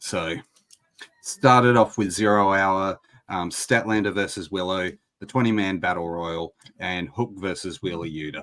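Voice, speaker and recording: A man speaks with an Australian accent at a moderate pace. His very deep, low voice keeps a fairly even intonation. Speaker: wrestling podcast host. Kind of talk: casual chat.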